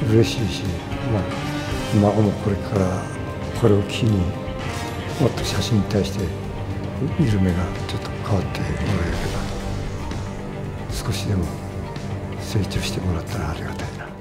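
A man at a moderate pace with long, frequent pauses over loud music in the background. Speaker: photographer. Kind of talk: interview answer. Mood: calm, reflective. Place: hall.

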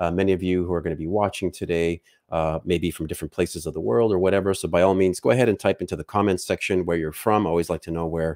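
Against a quiet background, a man speaks in a very deep, low pitch with ordinary pitch variation and a dry sound with no echo. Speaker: podcast host. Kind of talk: show intro and announcements. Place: studio. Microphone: studio mic.

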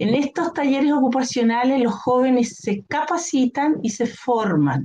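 A woman at a very slow pace with lively intonation, over light background noise. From Chile. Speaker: occupational therapist, nonprofit director. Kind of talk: interview. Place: home room. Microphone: connection dropping; webcam.

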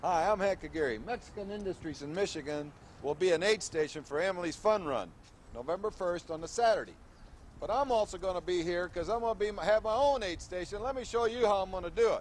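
A man's high voice at a very fast pace, with ordinary pitch variation, dry sound with no echo, and light background noise. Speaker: promo spokesman. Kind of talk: promotional announcement. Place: street.

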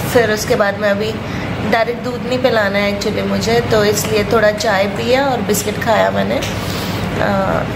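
A woman at a fairly slow pace, heard over loud background noise. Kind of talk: casual vlog chat. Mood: happy, content. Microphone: phone near.

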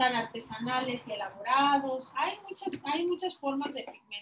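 A woman's high-pitched voice at a fairly slow pace over noticeable background noise. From Mexico, Guadalajara. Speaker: crafts teacher. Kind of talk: online class tutorial. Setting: video call. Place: workshop.

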